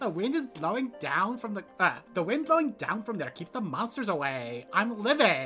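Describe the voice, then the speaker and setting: Clear music plays in the background of a put-on character voice at fairly high pitch with very wide pitch swings. The pace is moderate, with hardly any pauses. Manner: campy, sassy.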